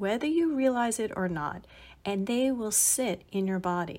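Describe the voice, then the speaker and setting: An ordinary speaking voice from a woman, fairly high in pitch with lively intonation, in a very clean recording with a silent background. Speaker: mindfulness podcast host. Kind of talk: guided body-scan meditation, spoken instructions to listener. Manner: slow, soothing, gently paced instructions; warm, calm and encouraging.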